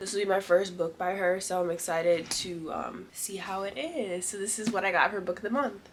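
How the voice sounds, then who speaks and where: Noticeable background noise sits behind a woman's medium-pitched voice. She talks fairly quickly with ordinary pitch variation. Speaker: book vlogger. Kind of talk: casual talk to camera.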